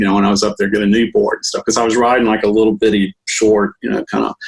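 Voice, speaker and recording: A man's voice at medium pitch comes through with a dry, close sound and no echo. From Texas Gulf Coast. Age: 60s. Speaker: musician and skateboarder. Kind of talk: casual interview chat. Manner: halting, many fillers.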